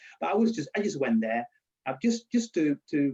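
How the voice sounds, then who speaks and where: Speaking at a fairly quick pace, a man has a dark, mellow tone and a strong Spanish accent. His pitch varies in an ordinary way. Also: dry, close sound with no echo. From Spain. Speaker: university lecturer. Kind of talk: interview. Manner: halting.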